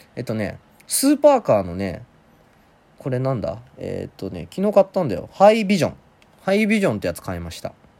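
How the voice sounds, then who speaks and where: A man talks at a fairly quick pace, his loudness swinging widely. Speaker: solo podcast host answering listener questions. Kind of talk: casual solo talk. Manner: hesitant, rusty.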